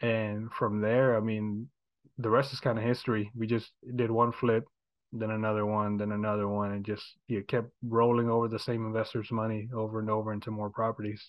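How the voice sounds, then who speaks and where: A man with an American accent talks fairly quickly in a fairly low, monotone, flat voice. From Houston, Texas. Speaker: real estate agent and investor. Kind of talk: casual interview.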